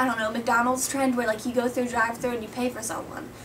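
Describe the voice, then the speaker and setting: A woman speaks in an upbeat tone with a high pitch. Noticeable background noise runs behind her. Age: young. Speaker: competitive cheerleader. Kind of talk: casual talk to camera. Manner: upbeat, rambling.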